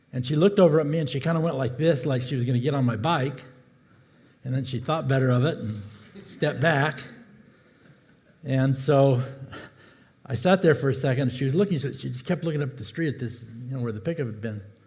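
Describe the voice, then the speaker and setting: Audible room echo carries a fairly quick pace broken by long, frequent pauses, with ordinary pitch variation. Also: man, medium pitch for a man. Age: 70s. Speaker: pastor. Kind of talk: sermon. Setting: church.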